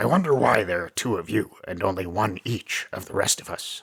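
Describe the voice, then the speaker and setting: A man's raspy, put-on character voice at a moderate pace, fairly low in pitch. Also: lively intonation. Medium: read story. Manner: serious, unsmiling.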